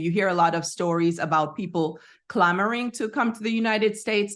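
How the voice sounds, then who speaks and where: Fairly quick, fairly even speech with a slight Jamaican accent over a quiet background. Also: woman. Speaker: psychotherapist and researcher, entrepreneur. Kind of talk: interview.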